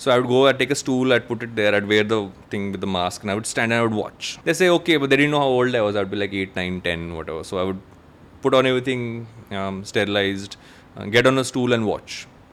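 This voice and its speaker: This man's medium-pitched speech moves at a very fast pace. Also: ordinary pitch variation. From India. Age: 40s. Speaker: content creator and entrepreneur. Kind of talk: casual chat.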